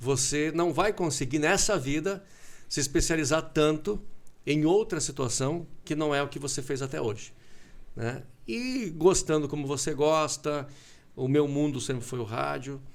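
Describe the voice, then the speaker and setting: At a fairly slow pace, a man speaks in an ordinary speaking voice with ordinary pitch variation. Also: fairly high pitch for a man. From southern Brazil (Concórdia, Santa Catarina). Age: 40s. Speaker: radio broadcaster. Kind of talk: casual interview chat. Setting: TV studio.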